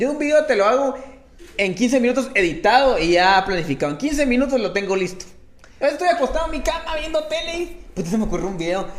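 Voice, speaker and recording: Over noticeable background noise and audible room echo, a man talks at a fairly quick pace in an extremely high pitch with very wide pitch swings. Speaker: comedian. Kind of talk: casual chat.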